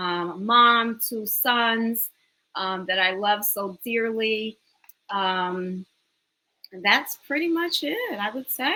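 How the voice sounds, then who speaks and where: Very slow in pace, a woman speaks at a fairly high pitch with a bright, sharp tone, ordinary pitch variation and big swings in loudness. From New York City, the Bronx. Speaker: business owner and educator. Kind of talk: interview.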